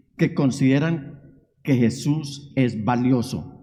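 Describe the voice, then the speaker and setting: Somewhat breathy and dark, mellow in tone, a man's voice carries audible room echo. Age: 60s. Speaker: pastor. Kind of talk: sermon. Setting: church. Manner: emphatic preaching.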